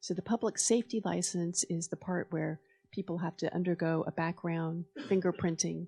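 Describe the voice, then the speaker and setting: A woman's fairly low, dark, mellow voice with vocal fry, moderate pace and a dry, close sound with no echo. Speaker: city attorney. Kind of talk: public meeting presentation. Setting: school board meeting room with audience.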